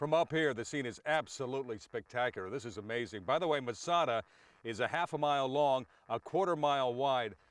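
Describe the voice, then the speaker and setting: A man with an ordinary speaking voice talks at a fairly quick pace, medium in pitch and with ordinary pitch variation. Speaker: TV news reporter. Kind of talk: live field news report.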